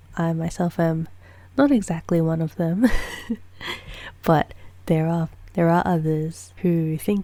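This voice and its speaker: A woman speaks softly in a calm tone, her pitch fairly low. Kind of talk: ASMR soft-spoken chatting to camera. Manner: soft-spoken, calm, slow.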